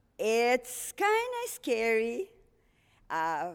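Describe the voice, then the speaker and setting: A woman with a Portuguese accent and a fairly high pitch is heard in a very clean recording with a silent background. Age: 60s. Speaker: missionary. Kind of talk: testimony.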